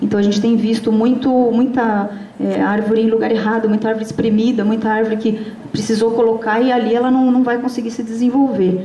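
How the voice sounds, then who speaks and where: At a fairly quick pace, a fairly high-pitched woman speaks with monotone, flat intonation and very even loudness, amid noticeable background noise and audible room echo. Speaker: researcher and conference speaker. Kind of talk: conference talk. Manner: fast; halting, many fillers.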